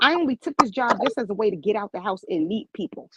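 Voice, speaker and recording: In a strong New York accent, the speaker sounds animated, with lively intonation and a dry, close sound with no echo. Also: woman. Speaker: medical office worker. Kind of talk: casual chat. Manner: abrupt.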